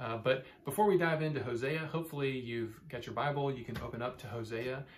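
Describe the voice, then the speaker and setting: With light background noise behind him, a man talks at a moderate pace with fairly even intonation. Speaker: church pastor. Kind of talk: bible study teaching talk. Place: office. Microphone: phone near.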